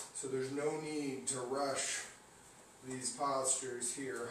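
A man with a fairly high voice speaks very slowly and with fairly even intonation, over light background noise and audible room echo. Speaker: yoga instructor. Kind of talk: guided yoga class, giving cues. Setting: online video class. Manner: calm, steady, directive cueing; casual, friendly, slightly halting. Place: home room. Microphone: camera far.

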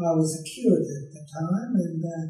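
A fairly high-pitched man's voice with audible room echo. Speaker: retired clergyman. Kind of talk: interview answer. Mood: calm, reminiscing. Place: home room.

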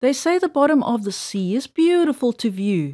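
A playful woman's voice, high-pitched, with very wide pitch swings, a fairly slow pace, and a very clean recording with a silent background. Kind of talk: reading aloud a children's rhyming poem. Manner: rhythmic, sing-song, playful storybook delivery.

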